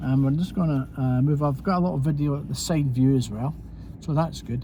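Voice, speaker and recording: With a Scottish accent, a man talks at a fairly quick pace in a medium pitch, his dark, mellow tone somewhat breathy and his pitch making very wide swings. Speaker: driving instructor. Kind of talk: commentary drive tutorial. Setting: in a car. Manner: casual, conversational.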